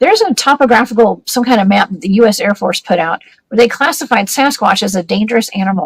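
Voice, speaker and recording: A woman's fairly high, somewhat breathy voice with a Southern US accent, very fast, with lively intonation and a dry, close sound with no echo. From US South, Georgia. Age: 40s. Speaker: paranormal investigator. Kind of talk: casual interview.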